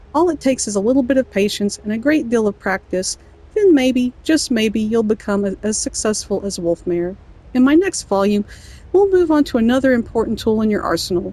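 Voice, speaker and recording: Her tone is playful and amused, with lively intonation and fairly high pitch. This woman speaks at a moderate pace with an American accent. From Southern US. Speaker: gamer. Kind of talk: reading in-game book aloud. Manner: playful, amused.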